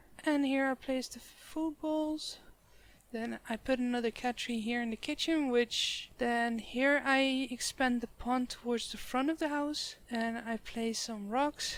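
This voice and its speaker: A high-pitched woman with a Dutch accent, at a fairly slow pace with ordinary pitch variation. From Netherlands. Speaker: gaming YouTuber. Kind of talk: game build commentary. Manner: casual, slightly halting.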